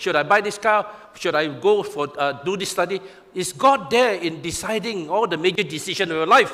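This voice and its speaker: Over noticeable background noise, a man talks in a raised, projected voice at a very fast pace. His pitch varies in an ordinary way. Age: 60s. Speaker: pastor. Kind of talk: sermon.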